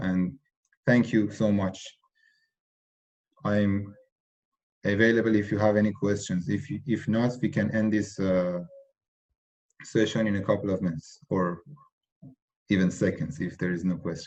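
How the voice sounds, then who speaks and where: Speaking with a non-native accent, a man keeps a moderate pace and fairly even intonation at a fairly low pitch. Long pauses come frequently. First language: not English. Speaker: tutor. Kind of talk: online tutorial session. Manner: halting, many fillers.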